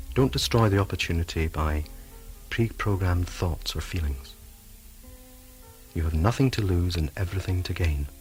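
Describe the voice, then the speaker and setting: Over background music, a man with a very deep, low voice speaks in a calm, soothing tone, pausing often and at length. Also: ordinary pitch variation, moderate pace. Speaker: hypnotherapist. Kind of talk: hypnotherapy tape introduction. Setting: cassette recording.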